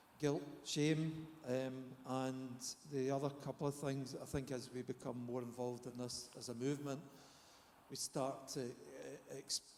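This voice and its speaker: Flat and monotone, a man with a Scottish accent speaks at a fairly slow pace. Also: medium pitch for a man. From Scotland. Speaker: therapist. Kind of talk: panel discussion. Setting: conference stage with audience.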